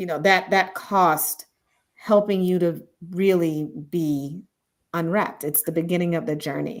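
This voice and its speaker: This woman has a normal speaking voice, fairly low in pitch. She talks at a fairly slow pace with fairly even intonation. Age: 50s. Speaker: leadership coach. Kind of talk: live stream discussion. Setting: online live stream with chat.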